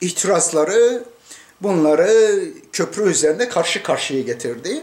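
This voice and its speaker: Lively intonation marks a man's speech, which comes at a fairly slow pace. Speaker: commentator. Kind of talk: political commentary. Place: home room. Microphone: webcam.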